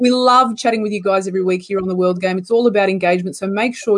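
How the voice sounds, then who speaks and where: Over noticeable background noise, a woman with an Australian accent talks at a very fast pace. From Australia, Canberra. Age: 30s. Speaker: football show host. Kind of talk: casual chat.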